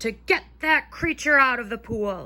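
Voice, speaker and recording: Bellowing in a put-on character voice, a woman talks at a moderate pace with a high pitch. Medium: read story. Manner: bellowing, alarmed.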